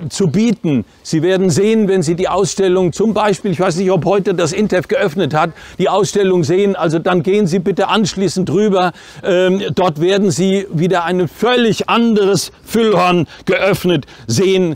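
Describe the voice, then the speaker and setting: This man's voice is high-pitched, with ordinary pitch variation and very even loudness. The sound is dry with no echo. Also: moderate pace. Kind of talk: opening speech. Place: street.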